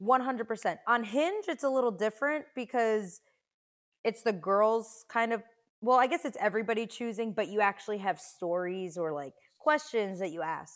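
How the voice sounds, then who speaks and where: A woman with a normal speaking voice, fairly high in pitch, lively in intonation, at a moderate pace, on a very clean recording with a silent background. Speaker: guest talking about dating. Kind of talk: casual chat. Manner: upbeat, chatty.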